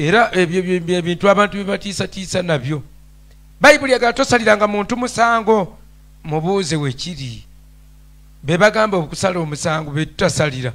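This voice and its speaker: This man speaks with a high pitch. His intonation is lively. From Uganda. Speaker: pastor. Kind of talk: Bible teaching in a question-and-answer show. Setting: studio. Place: studio. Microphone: handheld.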